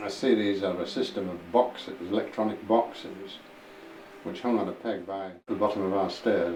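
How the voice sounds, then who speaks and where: Here a man speaks with a Yorkshire accent and a fairly low pitch with ordinary variation. There is audible room echo and noticeable background noise. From northern England, Huddersfield, West Yorkshire. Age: 80s+. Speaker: war-time eyewitness. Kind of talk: oral history interview. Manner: halting, with repetitions.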